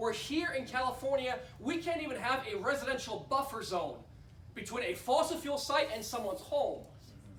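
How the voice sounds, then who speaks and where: Noticeable background noise sits behind a man speaking at a fairly quick pace. His pitch is extremely high, with ordinary pitch variation. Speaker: political candidate for US Congress giving a campaign speech. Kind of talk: fundraiser campaign speech.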